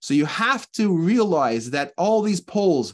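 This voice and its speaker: Over a quiet background, a man talks with a high pitch. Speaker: religious teacher. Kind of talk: sermon. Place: home room. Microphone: webcam.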